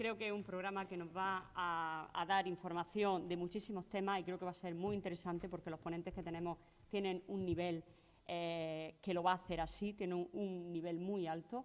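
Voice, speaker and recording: Delivery stays at a medium speed. The voice holds a flat, monotone line. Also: woman, fairly low pitch for a woman. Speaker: event moderator. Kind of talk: conference introduction.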